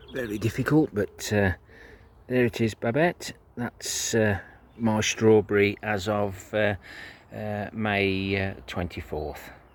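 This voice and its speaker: A man with an English accent, a fairly low pitch and ordinary pitch variation, at a very slow pace. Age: 60s. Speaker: allotment gardener. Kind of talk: casual video tour. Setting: outdoors at allotment. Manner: hesitant, many fillers.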